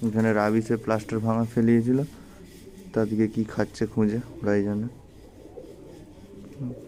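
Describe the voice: This man has a dark, mellow tone and a fairly low pitch. He talks at a moderate pace with little pitch movement.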